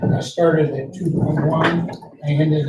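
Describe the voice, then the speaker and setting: A man speaks at a fairly slow pace in a fairly high pitch, with a dark, mellow tone that is somewhat breathy and a monotone, flat intonation. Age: 80s+. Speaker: prostate cancer patient in support group. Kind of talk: support group discussion.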